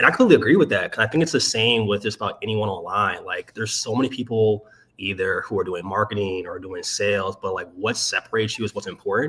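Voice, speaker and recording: A man with an American accent talks at a very fast pace with hardly any pauses. Noticeable background noise can be heard. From Maryland, US. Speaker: sales strategist. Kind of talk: casual interview chat. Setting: livestream.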